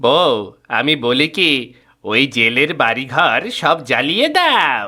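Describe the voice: Over a silent background in a very clean recording, a man does a cartoonish character voice at a fairly high pitch and a fairly slow pace.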